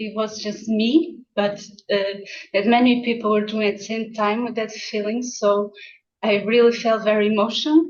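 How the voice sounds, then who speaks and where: A woman with a Portuguese accent, fairly high in pitch, at a moderate pace with fairly even intonation. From Portugal. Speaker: ikebana instructor. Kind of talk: short speech on video call. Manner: halting.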